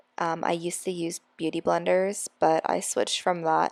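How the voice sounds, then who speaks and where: The recording is very clean, with a silent background and a dry, close sound with no echo. A woman speaks at a moderate pace. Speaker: hairstylist and beauty vlogger. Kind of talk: casual vlog narration. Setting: at home vanity, apartment. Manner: stumbles over words; chatty, informal.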